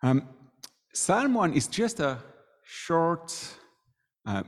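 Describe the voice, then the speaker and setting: A man speaks with a French accent and very wide pitch swings. The recording is very clean, with a silent background. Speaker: student ministry worker giving a sermon. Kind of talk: sermon. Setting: church.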